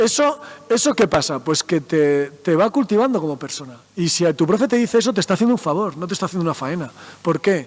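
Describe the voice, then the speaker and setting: A man with a high pitch talks very fast in an animated tone, his pitch swinging very widely over noticeable background noise. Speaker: mathematician and science communicator. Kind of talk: talk to school students.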